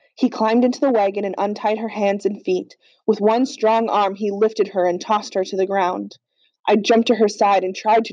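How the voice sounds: Fairly even intonation marks this natural reading voice, heard against a quiet background.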